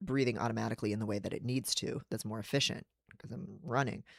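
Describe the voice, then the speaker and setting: A man with an American accent speaks at a very fast pace and medium pitch with vocal fry, in a dry, close sound with no echo. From United States. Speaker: writer and psychologist streaming. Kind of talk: livestream casual chat. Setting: livestream. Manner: little breathing while speaking.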